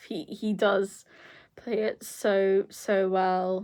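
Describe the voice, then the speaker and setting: A woman with a British accent speaks at a medium pitch in a very clean recording with a silent background. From Britain. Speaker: YouTuber. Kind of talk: casual vlog review. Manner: halting, many fillers.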